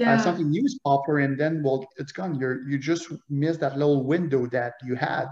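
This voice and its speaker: A man with a French Canadian accent talks at a fairly quick pace with hardly any pauses. His pitch is fairly high, with ordinary variation, and there is noticeable background noise. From Quebec, Montreal. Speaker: author and loss prevention manager. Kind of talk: interview conversation. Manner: halting.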